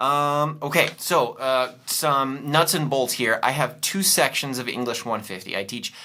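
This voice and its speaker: The man speaks with a bright, sharp tone. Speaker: college writing instructor. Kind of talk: course intro lecture video. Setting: recorded video. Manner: hesitant, many fillers.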